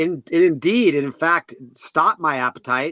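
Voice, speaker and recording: A man at a moderate pace, fairly high in pitch, with a bright, sharp tone and a dry, close sound with no echo. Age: 60s. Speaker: health product guest. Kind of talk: interview.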